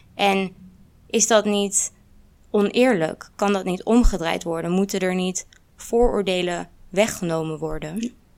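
An ordinary speaking voice from a woman, medium in pitch with ordinary pitch variation. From Netherlands. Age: 20s. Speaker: student and activist. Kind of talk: panel discussion.

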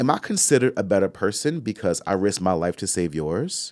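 Very wide pitch swings at a moderate pace, with dry, close sound, no echo and a very clean recording against a silent background. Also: man. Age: 40s. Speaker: podcast co-host. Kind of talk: casual chat.

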